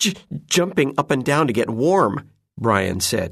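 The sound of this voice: Lively intonation runs through an unforced reading voice, with nothing heard behind it.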